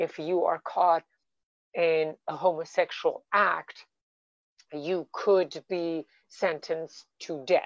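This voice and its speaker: A woman speaks very slowly with long, frequent pauses, a fairly low pitch and monotone, flat intonation, in a dry, close sound with no echo. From Iran, Tehran. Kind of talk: panel discussion.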